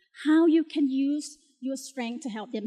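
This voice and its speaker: A woman with a Thai accent at a high pitch with ordinary pitch variation, her sound dry and close with no echo, against a quiet background. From Thailand. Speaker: motivational speaker, talent coach. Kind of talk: keynote speech. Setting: stage with audience.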